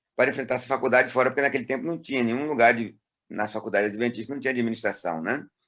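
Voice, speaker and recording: A man speaks at a medium pitch. His pace is very fast, and his pitch varies in an ordinary way. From Brazil, Ceará (Fortaleza). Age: 60s. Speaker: retired pastor. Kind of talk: interview. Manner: halting.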